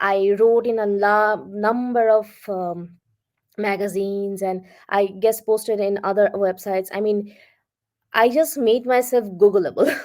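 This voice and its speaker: A woman's medium-pitched voice in a Bengali accent, fairly slow and fairly even in intonation, on a very clean recording with a silent background. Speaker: freelance content writer. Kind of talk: interview. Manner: confident.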